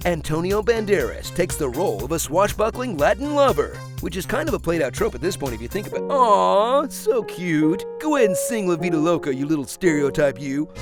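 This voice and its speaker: Music plays in the background while a man speaks. He leaves hardly any pauses. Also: fairly quick pace. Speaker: trailer voice narrator. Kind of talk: movie trailer parody narration with sarcastic humor. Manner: sarcastic, dry, mocking.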